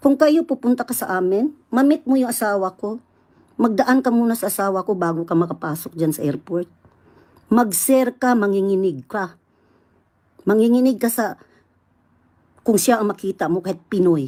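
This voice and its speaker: A woman with a Visayan accent speaks at a moderate pace in a medium pitch with a dark, mellow tone. Her intonation is lively, and she leaves long, frequent pauses. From Visayas, Philippines. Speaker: vlogger. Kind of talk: angry rant. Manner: loud, combative.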